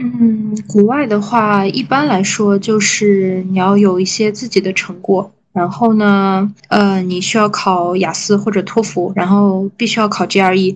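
Somewhat breathy, a woman speaks at a moderate pace in a medium pitch with fairly even intonation. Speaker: podcast co-host, PhD student. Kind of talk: casual chat.

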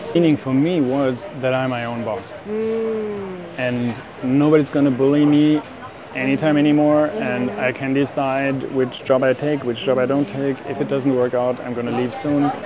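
A man talks in a fairly high register while noticeable noise fills the background. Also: ordinary pitch variation, moderate pace. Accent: German. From Germany. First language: German. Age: 50s. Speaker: life coach and entrepreneur. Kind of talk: interview. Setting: cafe.

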